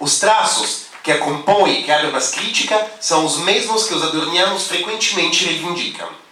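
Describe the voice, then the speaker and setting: High-pitched male voice with a non-native accent, ordinary pitch variation and a moderate pace, amid noticeable background noise and audible room echo. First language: not Portuguese (speaking Portuguese). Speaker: philosophy scholar, panel speaker. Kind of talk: academic conference talk, read paper. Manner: halting, hesitant.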